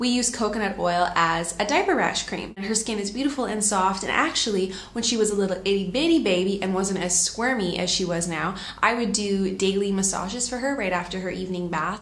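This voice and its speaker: Talking at a fairly quick pace, a woman leaves hardly any pauses and shows ordinary pitch variation. Audible room echo surrounds her voice. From Canada. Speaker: lifestyle vlogger. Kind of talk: tutorial. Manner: casual, chatty. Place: home room. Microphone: phone near.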